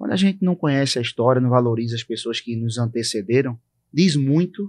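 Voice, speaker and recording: Fairly quick, lively intonation in a Pernambuco accent, against a quiet background. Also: man, dry, close sound with no echo. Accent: Northeastern Brazilian (Pernambuco). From Brazil, Northeast (Recife, Pernambuco). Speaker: podcast co-host. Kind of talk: casual chat.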